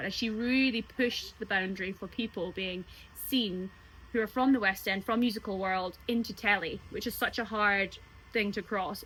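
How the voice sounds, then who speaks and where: In a Scottish accent, a woman speaks at a moderate pace and medium pitch with a bright, sharp tone. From Scotland. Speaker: singer and cruise ship entertainer. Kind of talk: interview answer. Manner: chatty, animated.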